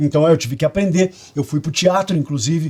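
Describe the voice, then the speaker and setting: This man speaks at a fairly high pitch. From Curitiba, Brazil. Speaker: radio and TV presenter. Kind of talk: interview answer.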